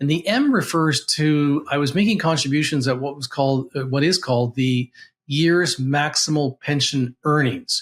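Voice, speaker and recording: Somewhat breathy speech at a moderate pace with ordinary pitch variation comes through on a very clean recording with a silent background. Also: man. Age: 60s. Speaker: financial advisor. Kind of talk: tutorial. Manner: halting.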